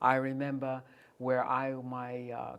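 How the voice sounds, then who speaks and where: In a New York accent, a woman speaks at a very deep, low pitch. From US Northeast, New York City (the Bronx). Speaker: local TV talk show host. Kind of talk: interview.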